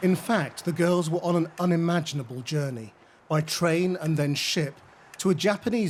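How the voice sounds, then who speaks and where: With a plain, everyday voice, a man speaks at a fairly slow pace and fairly high pitch with ordinary pitch variation. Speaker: television journalist. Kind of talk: documentary narration.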